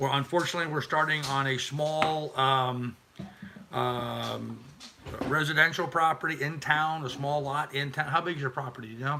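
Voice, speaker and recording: Against noticeable background noise, a man speaks at a moderate pace in a monotone, flat delivery with a fairly high pitch. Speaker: YouTuber and homesteader. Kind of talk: live stream chat. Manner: casual and repetitive.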